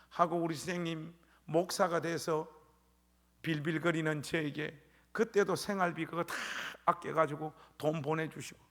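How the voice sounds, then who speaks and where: The speaker has a Gyeongsang accent and a moderate pace. Long pauses come often. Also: man, high pitch for a man. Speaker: pastor. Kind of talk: sermon. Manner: animated.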